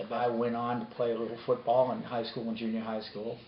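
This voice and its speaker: There is audible room echo and noticeable background noise as a man talks at a moderate pace and medium pitch. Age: 60s. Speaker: interviewee. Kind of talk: interview testimony.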